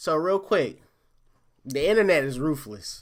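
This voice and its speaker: A man speaks in an animated, bright, sharp tone with lively intonation. The recording is very clean, with a silent background. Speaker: streamer reacting to online news. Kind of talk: live stream commentary. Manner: halting, stuttering.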